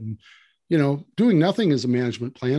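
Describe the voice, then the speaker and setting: Very fast, lively-intoned speech from a man with an Upper Midwest accent. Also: quiet background. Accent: Upper Midwest American. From Wisconsin, rural. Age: 60s. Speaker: land management consultant. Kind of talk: casual interview.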